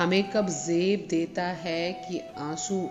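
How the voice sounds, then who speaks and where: Over music in the background, a woman speaks at a fairly low pitch. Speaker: poetry reciter. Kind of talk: poetry reading.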